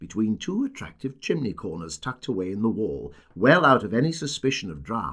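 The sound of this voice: An unforced reading voice. Its intonation is lively.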